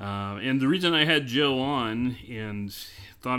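A man is speaking with a General American accent. His pitch sits in the medium range. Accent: general American, bland. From US Midwest; small-town Illinois. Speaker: podcast host. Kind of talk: casual interview conversation.

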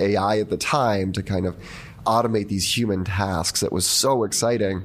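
A man's fairly low, normal speaking voice at a moderate pace, with fairly even intonation. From US, born in Argentina and moved as a young child. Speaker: biotech scientist and entrepreneur. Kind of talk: interview. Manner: casual, many fillers.

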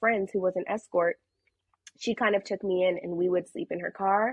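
This woman has a plain, everyday voice at a medium pitch. She keeps a moderate pace. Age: 20s. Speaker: content creator and podcast host. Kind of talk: casual chat.

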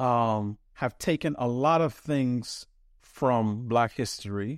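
The recording is very clean, with a silent background. It carries a plain, everyday voice with ordinary pitch variation. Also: man, dry, close sound with no echo. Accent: American. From New York City. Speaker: think tank research fellow and writer. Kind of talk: serious interview conversation.

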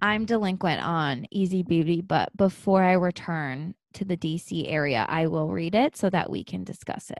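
With an ordinary speaking voice and a fairly low pitch, a woman speaks at a moderate pace with hardly any pauses and ordinary pitch variation, the sound dry and close with no echo against a quiet background. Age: 30s. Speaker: podcast co-host. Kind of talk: casual chat.

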